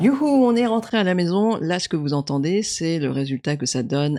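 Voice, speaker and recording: With lively intonation at a moderate pace, the dark, mellow tone comes through dry and close with no echo against a quiet background. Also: woman. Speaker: tech youtuber. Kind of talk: product review. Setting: at home. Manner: soft-spoken.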